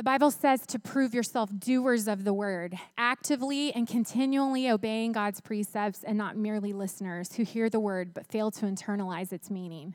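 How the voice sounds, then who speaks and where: A woman talks in a normal speaking voice, fairly high in pitch with ordinary pitch variation. Her pace is moderate, with hardly any pauses. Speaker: preacher. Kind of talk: sermon. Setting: church.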